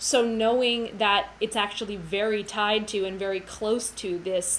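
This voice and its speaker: A woman's medium-pitched voice with an American accent and fairly even intonation, heard with audible room echo. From United States. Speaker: cellist and music educator. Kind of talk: livestream lecture. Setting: livestream. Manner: fast.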